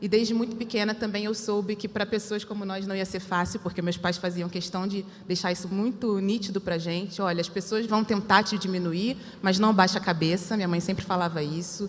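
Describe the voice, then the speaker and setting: Speaking at a fairly quick pace with hardly any pauses, a woman with a Rio de Janeiro accent keeps a medium pitch and a flat, monotone intonation over noticeable background noise. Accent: carioca. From Rio de Janeiro suburbs, Brazil. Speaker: panel speaker. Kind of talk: personal testimony on a panel.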